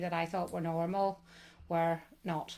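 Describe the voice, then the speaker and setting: Speaking with a Northern Irish accent, a woman at a fairly low pitch keeps a monotone, flat intonation. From Northern Ireland, County Tyrone. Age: 60s. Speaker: interview guest. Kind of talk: interview.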